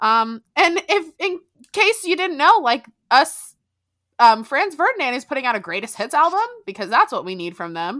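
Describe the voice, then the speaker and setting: In an American accent, a raised, projected voice with a bright, sharp tone moves at a moderate pace, with big swings in loudness and very wide pitch swings, on a very clean recording with a silent background. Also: woman, high pitch for a woman. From South Florida. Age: 20s. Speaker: podcast co-host. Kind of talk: casual chat.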